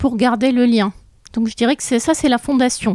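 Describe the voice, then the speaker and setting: Recorded dry and close with no echo, a woman speaks fairly slowly in a high voice. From France, childhood in Borneo. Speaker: psychiatrist. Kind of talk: interview explaining.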